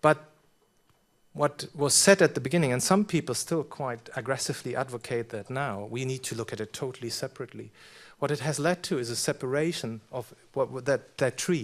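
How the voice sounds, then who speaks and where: A man with a German accent at a medium pitch, fairly quick pace and ordinary pitch variation, on a very clean recording with a silent background. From Germany. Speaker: professor. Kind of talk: conference talk Q&A. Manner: halting, many repetitions.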